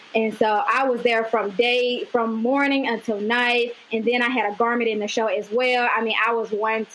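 A woman with a Mississippi accent speaks at a moderate pace in a fairly high voice. Noticeable background noise runs underneath. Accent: Southern US (Mississippi). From US South, Amory, Mississippi. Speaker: fashion designer. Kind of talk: interview.

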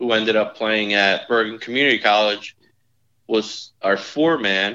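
With a New Jersey accent, a man speaks at a medium pitch and a fairly slow pace with fairly even intonation. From northern New Jersey. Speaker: insurance executive and former college golfer. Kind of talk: casual interview chat.

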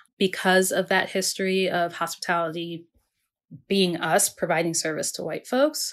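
In a very clean recording with a silent background, a woman with an American accent speaks at a moderate pace and medium pitch, using ordinary pitch variation and a plain, everyday voice. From Maryland, US Mid-Atlantic. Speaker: food writer and podcast host. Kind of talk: casual interview conversation.

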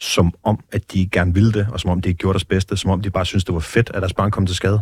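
A man with a very deep, low pitch speaks very fast and somewhat breathily. The sound is dry and close with no echo. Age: 30s. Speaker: former biker gang leader, exit programme director. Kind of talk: interview. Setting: studio.

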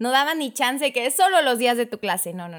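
A high-pitched woman with lively intonation on a very clean recording with a silent background. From Mexico, Chiapas (Tuxtla Gutiérrez). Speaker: children's catechist and lawyer. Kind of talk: casual chat.

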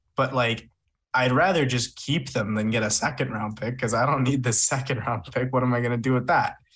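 The intonation stays fairly even in a plain, everyday voice. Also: man, medium pitch for a man, fairly quick pace. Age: 20s. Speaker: basketball draft scout. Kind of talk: casual chat.

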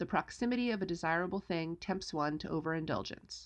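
Against a quiet background, a woman with a fairly low pitch talks at a fairly quick pace with ordinary pitch variation. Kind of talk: casual chat. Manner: snarky, joking.

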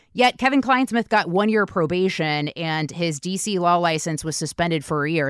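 A woman with an American accent and an ordinary speaking voice talks with lively intonation and hardly any pauses at a fairly low pitch, captured in a very clean recording with a silent background and a dry, close sound with no echo. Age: 30s. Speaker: podcast host. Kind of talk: interview.

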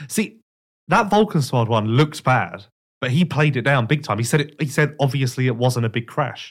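In a very clean recording with a silent background, a man with a medium pitch speaks at a moderate pace, sounding somewhat breathy. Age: 20s. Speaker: motocross magazine editor. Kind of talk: casual chat. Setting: studio.

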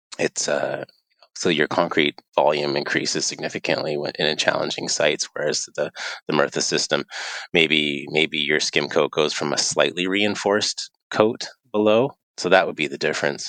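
A man at a moderate pace, the sound dry and close with no echo. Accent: Canadian. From Eastern Canada. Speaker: wave pool engineer. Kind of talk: interview.

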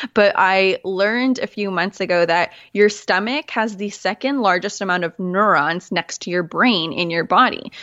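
In a normal speaking voice, a woman talks at a moderate pace with hardly any pauses. Her medium pitch shows ordinary variation. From Manitoba, Canada. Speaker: clarity coach and podcaster. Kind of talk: casual interview chat.

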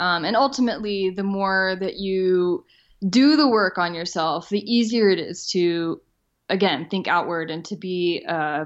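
In an American accent, a woman speaks at a fairly slow pace. Hers is an unremarkable speaking voice, at a medium pitch with ordinary pitch variation. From US South. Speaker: responsible travel blogger. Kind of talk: interview.

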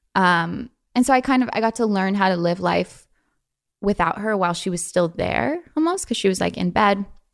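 Speaking with an American accent, a woman uses a medium pitch at a moderate pace. The recording is very clean, with a silent background. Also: lively intonation. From Los Angeles, US. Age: 20s. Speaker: young entrepreneur and actor. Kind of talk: casual interview. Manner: halting, many fillers.

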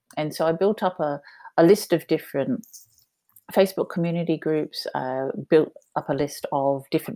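A woman with an Australian accent speaks at a moderate pace in a very deep, low pitch with a dark, mellow tone, on a very clean recording with a silent background. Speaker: entrepreneur. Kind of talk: interview.

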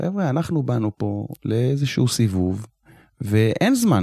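The voice has a dark, mellow tone at a moderate pace, with a dry, close sound with no echo. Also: man. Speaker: retired security officer and nonprofit founder. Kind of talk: interview conversation.

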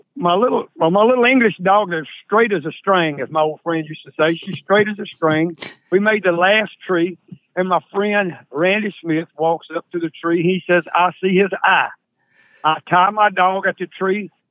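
A man with a Southern US accent talks at a moderate pace in a high pitch, with ordinary pitch variation. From Mississippi. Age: 70s. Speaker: coon hunter. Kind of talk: casual chat.

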